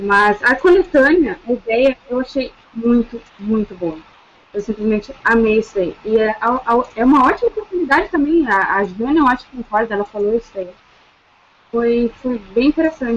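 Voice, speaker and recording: Lively intonation marks a woman's fairly high voice at a moderate pace. Noticeable background noise runs underneath. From São Paulo state (Taubaté). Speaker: law student and novice writer. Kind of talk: casual chat.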